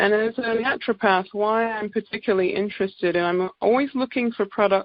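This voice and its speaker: A woman with an English accent, medium in pitch, at a moderate pace with fairly even intonation. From England. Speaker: naturopath. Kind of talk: sales presentation on conference call. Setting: conference call.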